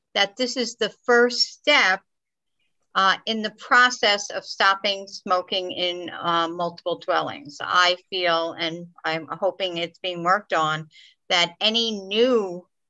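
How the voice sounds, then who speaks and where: Bright and sharp in tone, the voice moves at a very slow pace with ordinary pitch variation. The background is quiet. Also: woman. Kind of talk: meeting question and comments. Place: home room. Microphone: video call.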